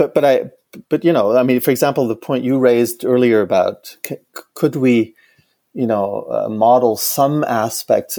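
This man has a German accent and talks at a moderate pace. The sound is dry and close with no echo, on a very clean recording with a silent background. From Germany. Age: 50s. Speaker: economist and professor. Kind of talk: interview conversation. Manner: halting, many repetitions.

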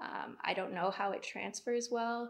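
This woman speaks with a Canadian accent. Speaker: kinesiology graduate, physiotherapy student. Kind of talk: casual interview.

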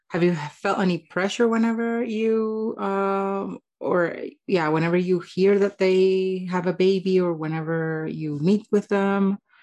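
A normal speaking voice at a fairly slow pace, with fairly even intonation over a quiet background. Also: woman, medium pitch for a woman. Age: 30s. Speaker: podcast host and life coach. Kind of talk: casual interview.

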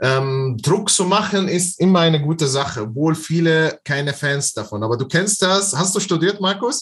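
A man with an Arabic accent talks in a fairly high pitch with lively intonation and hardly any pauses. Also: moderate pace. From Palestine, Bethlehem. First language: Arabic (speaking German). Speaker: online seller and business coach. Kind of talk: interview.

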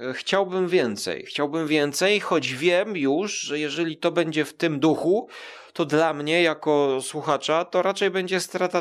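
On a very clean recording with a silent background, a man with a fairly high pitch and ordinary pitch variation speaks fairly slowly with hardly any pauses. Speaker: podcaster. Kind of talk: casual chat. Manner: hesitant, many fillers.

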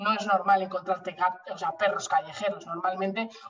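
This woman talks at a very fast pace with medium pitch. Her intonation stays flat and monotone. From Spain, Bilbao (Basque Country). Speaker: animal rescue association president. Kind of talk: interview conversation.

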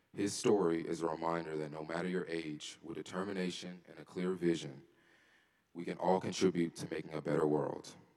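The pace is fairly quick. The intonation is monotone and flat. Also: man, very deep, low pitch for a man. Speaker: student. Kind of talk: speaker introduction. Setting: stage with audience. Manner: formal.

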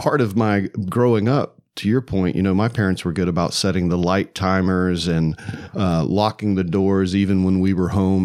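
A man's very deep, low voice, fairly even in intonation, at a moderate pace. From US South, Atlanta. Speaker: podcast host. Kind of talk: casual interview chat.

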